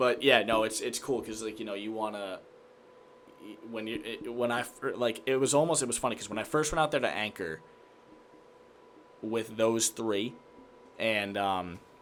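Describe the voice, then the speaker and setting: A man with an American accent at medium pitch, moderate pace and ordinary pitch variation, with long, frequent pauses. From Massachusetts, Worcester County. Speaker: sports reporter and anchor. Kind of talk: casual chat.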